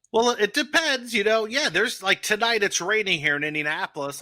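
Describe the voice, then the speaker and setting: With a New Jersey accent, a man speaks at a fairly quick pace in a high, bright, sharp voice with very wide pitch swings, the sound dry and close with no echo. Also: very clean recording, silent background. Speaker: sports travel podcast panelist. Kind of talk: casual chat.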